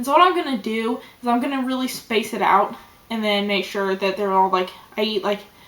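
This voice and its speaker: Fairly quick speech from a woman at medium pitch, ordinary in pitch variation, over noticeable background noise. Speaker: vlogger. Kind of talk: personal video diary. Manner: not lively, concentrating.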